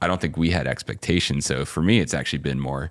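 The sound is dry and close with no echo as a man speaks in a very deep, low pitch with vocal fry and ordinary pitch variation. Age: 30s. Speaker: podcast co-host, company co-founder. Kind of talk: casual chat.

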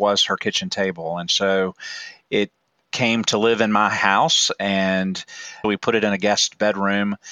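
A man in a normal speaking voice, fairly low in pitch, at a fairly slow pace with fairly even intonation. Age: 40s. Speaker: church formation director and artist. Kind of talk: interview.

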